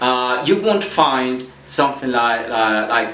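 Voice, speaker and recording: Heard with audible room echo and noticeable background noise, a man speaks at a medium pitch. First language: Spanish. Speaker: Spanish teacher. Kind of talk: lecture. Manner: halting.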